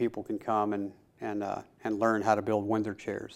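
In a Tennessee accent, a man speaks at a moderate pace with a fairly low pitch. His intonation is flat and monotone. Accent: US Southern (Tennessee). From Middle Tennessee. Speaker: chairmaker and woodworking teacher. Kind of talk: casual interview. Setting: woodworking shop. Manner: hesitant with many fillers.

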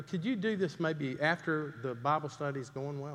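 A man with a Southern US accent talks at a moderate pace against a quiet background. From US South, Greenville, South Carolina. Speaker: pastor. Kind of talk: sermon.

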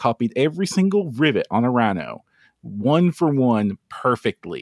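A man with a Kentucky accent, fairly high in pitch and swinging very widely up and down, in a dry, close sound with no echo and a very clean recording with a silent background. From US, Kentucky. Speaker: 3D printing hobbyist, tabletop gaming industry manager. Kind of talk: casual podcast chat.

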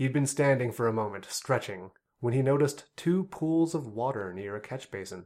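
On a very clean recording with a silent background, a man with a plain, everyday voice of medium pitch speaks at a moderate pace with lively intonation. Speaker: podcast host. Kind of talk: book review podcast, comedic banter with read-aloud story excerpts.

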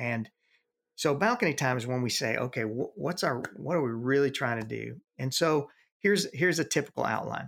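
A man with vocal fry and lively intonation at a fairly quick pace. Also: medium pitch for a man, very clean recording, silent background. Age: 60s. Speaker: youth ministry veteran and consultant. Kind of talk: interview. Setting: home office.

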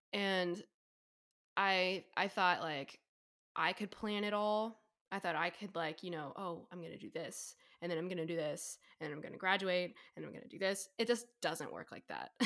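A woman speaks at a moderate pace in a bright, sharp tone. Her loudness swings widely. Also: medium pitch for a woman, ordinary pitch variation. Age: 20s. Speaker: college student. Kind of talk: casual chat.

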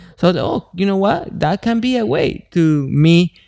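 A man with a Spanish accent speaks at a high pitch in a dark, mellow tone, with a dry, close sound and no echo. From Mexico. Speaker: MMA fighter. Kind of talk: casual interview.

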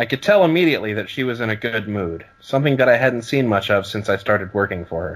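Lively intonation runs through an unforced reading voice.

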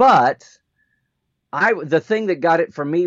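A man with an American accent speaks in a dry, close sound with no echo. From Oklahoma. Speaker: podcast co-host, Star Trek expert. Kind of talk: casual chat. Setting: live stream.

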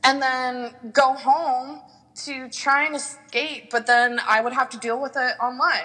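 A woman with a high pitch uses a raised, projected voice at a fairly slow pace, her loudness swinging widely, over noticeable background noise. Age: 20s. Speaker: exotic dancer. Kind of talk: casual interview chat. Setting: remote recording, not face to face. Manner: enthusiastic.

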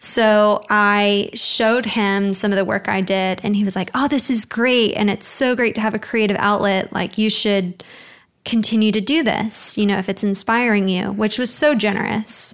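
This woman with an American accent has an unremarkable speaking voice, medium pitch, very even loudness, fairly even intonation and a moderate pace on a very clean recording with a silent background. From Alabama, US South (Birmingham). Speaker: graphic designer. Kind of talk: interview. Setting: studio.

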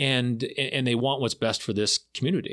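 A man with an American accent has an unremarkable speaking voice, medium in pitch, with ordinary pitch variation at a moderate pace. The sound is dry and close with no echo, and the recording is very clean with a silent background. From Florida. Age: middle-aged. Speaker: county commissioner. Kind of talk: casual interview. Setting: studio.

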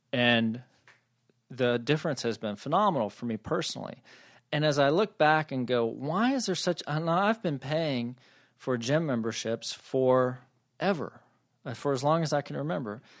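On a very clean recording with a silent background, a man with a normal speaking voice talks at a fairly high pitch and moderate pace with lively intonation. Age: 40s. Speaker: podcast host and strategic planning consultant. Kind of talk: solo business podcast monologue. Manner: casual, conversational with filler words.

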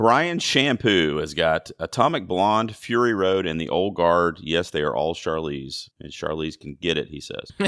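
Hardly pausing at all, a man speaks in a very deep, low pitch with lively intonation. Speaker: podcast host. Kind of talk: casual chat.

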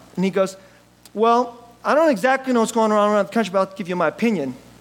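A man talks at a very fast pace with an extremely high pitch. Background noise is noticeable. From US (city of his church), born in Korea. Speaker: pastor. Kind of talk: sermon. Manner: conversational, with laughs.

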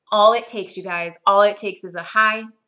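A woman's fairly high, bright, sharp voice, animated in tone, at a moderate pace with ordinary pitch variation. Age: 30s. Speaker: podcast host and educator. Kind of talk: motivational solo podcast talk.

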